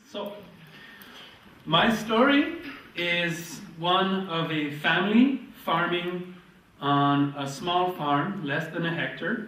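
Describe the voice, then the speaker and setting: Through noticeable background noise and audible room echo, a man with a high pitch speaks at a very slow pace, with long, frequent pauses and ordinary pitch variation. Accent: Quebec. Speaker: market gardener and author giving workshop. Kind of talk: workshop presentation with consecutive translation. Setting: lecture room with audience.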